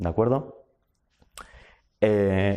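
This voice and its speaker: Speaking at a moderate pace over a quiet background, a man uses ordinary pitch variation with a dark, mellow tone. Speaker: invited speaker at activist workshop. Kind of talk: lecture. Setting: university talk with audience. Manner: halting, many self-corrections.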